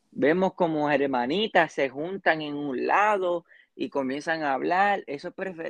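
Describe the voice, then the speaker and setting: Very slowly, a man speaks at a fairly high pitch. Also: dry, close sound with no echo. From Puerto Rico. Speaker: church youth member. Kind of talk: casual interview. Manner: halting.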